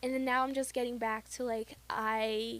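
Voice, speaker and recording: A woman speaks at a high pitch. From Brazil. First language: Portuguese. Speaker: podcast co-host. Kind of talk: casual chat.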